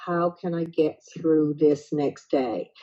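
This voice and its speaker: In a Newfoundland accent, a woman speaks at a fairly low pitch. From Newfoundland, Canada. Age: 60s. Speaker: retired counselor and author. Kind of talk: personal testimony interview.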